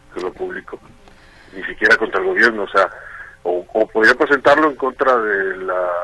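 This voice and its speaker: Noticeable background noise is present. Over it, a man talks at a moderate pace. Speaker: political correspondent. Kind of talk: news report.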